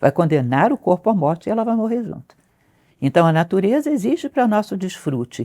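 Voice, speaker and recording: Very wide pitch swings mark a woman's dark, mellow, medium-pitched voice at a fairly quick pace, recorded very cleanly over a silent background, dry and close with no echo. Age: 60s. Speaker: philosophy teacher. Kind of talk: interview conversation.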